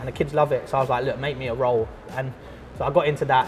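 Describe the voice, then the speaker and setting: A man talks at a very fast pace. He has a London accent. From Croydon, south London. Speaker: artist and school art teacher. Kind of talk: casual interview chat. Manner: casual, hesitant with fillers.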